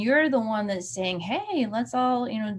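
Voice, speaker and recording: Somewhat breathy, a woman's medium-pitched voice comes through on a very clean recording with a silent background. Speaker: community tech educator. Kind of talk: live-stream tutorial. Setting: live video stream with screen share.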